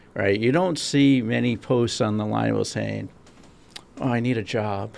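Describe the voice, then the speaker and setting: A man in a Massachusetts accent at a fairly slow pace. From Rhode Island. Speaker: podcast co-host. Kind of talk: casual podcast chat.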